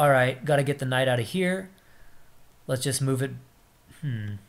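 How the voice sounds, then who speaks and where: A man speaks at medium pitch and a moderate pace. His voice is somewhat breathy, with ordinary pitch variation. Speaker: chess streamer. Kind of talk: live game commentary.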